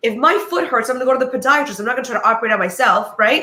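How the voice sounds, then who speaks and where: The voice is raised and projected, with a bright, sharp tone, lively intonation and a very fast pace. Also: woman. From United States, Polish immigrant family. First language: Polish. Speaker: divorce lawyer, co-host. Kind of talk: casual talk show chat.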